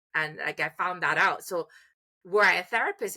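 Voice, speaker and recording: Her bright, sharp tone sits at a medium pitch as the woman talks at a fairly quick pace, in a dry, close sound with no echo. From Trinidad and Tobago. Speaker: music therapist and educator. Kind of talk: interview. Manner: hesitant, many fillers and restarts.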